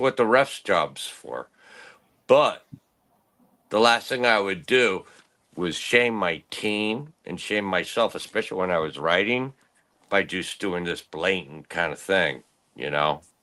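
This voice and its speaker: A man at a fairly slow pace, fairly low in pitch, with a bright, sharp tone and lively intonation. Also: quiet background. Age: 60s. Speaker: former pro paintball player and writer. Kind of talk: casual interview chat. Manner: animated.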